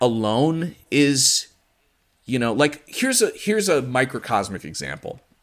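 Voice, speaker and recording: A man in an American accent talks at a fairly slow pace in an unremarkable speaking voice with lively intonation. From US Midwest, Chicago suburbs. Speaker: podcast host and conspiracy researcher. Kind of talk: casual interview conversation.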